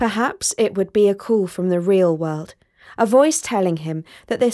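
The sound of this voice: A reading voice, unforced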